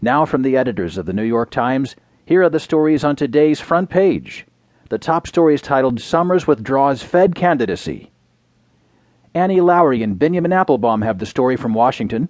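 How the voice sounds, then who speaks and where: With a fairly high pitch and lively intonation, a man with an ordinary speaking voice talks at a fairly quick pace. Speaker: newsreader. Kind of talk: formal scripted news reading of newspaper front-page stories. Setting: studio. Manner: measured, even-paced and crisp, with neutral authoritative delivery; formal and precise, clearly enunciating names and headlines.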